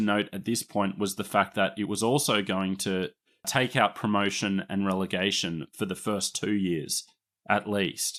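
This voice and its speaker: A man with an Australian accent at a moderate pace and fairly low pitch, on a very clean recording with a silent background. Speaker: podcast host, rugby league historian. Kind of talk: casual chat.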